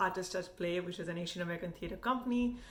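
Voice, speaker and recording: A woman with an Indian accent talks at a medium pitch. Noticeable background noise and audible room echo are present. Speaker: food and travel vlogger. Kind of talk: casual commentary rant.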